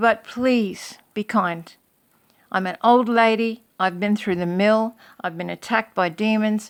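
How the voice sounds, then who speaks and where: In a normal speaking voice, a woman talks at a fairly slow pace with a fairly high pitch and fairly even intonation. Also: very clean recording, silent background. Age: 60s. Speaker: religious video blogger. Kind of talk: casual monologue to camera.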